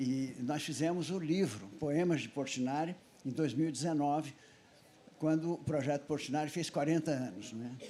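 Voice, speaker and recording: A fairly high-pitched male voice, dark and mellow in tone. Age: 80s+. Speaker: festival panelist, son of a painter. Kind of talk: panel talk with slide presentation.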